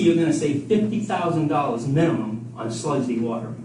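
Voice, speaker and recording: A man at a fairly high pitch with very wide pitch swings and a fairly quick pace, amid audible room echo and noticeable background noise. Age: 70s. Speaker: wastewater treatment consultant. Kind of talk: public comment at town meeting. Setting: public meeting. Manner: animated.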